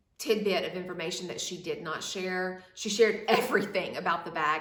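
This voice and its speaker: Over noticeable background noise and audible room echo, a woman speaks at a medium pitch with ordinary pitch variation. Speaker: fashion vlogger. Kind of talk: product review. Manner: casual, hesitant with fillers.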